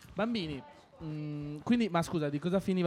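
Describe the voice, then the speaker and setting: Speaking at a fairly quick pace, a man sounds animated, with lively intonation. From Argentina. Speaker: radio host for children's sports show. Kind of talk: casual radio chat with children.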